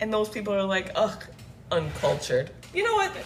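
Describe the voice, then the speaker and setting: A woman talks in an animated tone at a moderate pace over noticeable background noise. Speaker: livestreamer. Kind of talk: casual rant on livestream. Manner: animated, loud.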